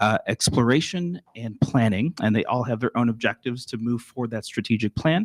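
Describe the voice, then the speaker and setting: Fairly quick and medium-pitched, a man talks with a slight Texan accent and ordinary pitch variation. The recording is very clean, dry and close with no echo, the background silent. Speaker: school district administrator. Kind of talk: presentation to school board.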